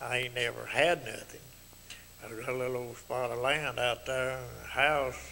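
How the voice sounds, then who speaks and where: A man with a Mississippi accent, medium pitch and monotone, flat intonation, at a moderate pace over noticeable background noise. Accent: rural Mississippi Southern. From US South, Tippah County, Mississippi. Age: 70s. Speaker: retired carpenter, local elder. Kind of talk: interview about life memories. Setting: TV studio. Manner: halting, repetitive.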